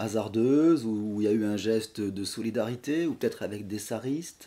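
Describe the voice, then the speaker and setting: Pitch varies in an ordinary way at a moderate pace. The tone is dark and mellow. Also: man. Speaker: podcast host. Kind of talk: podcast interview questions.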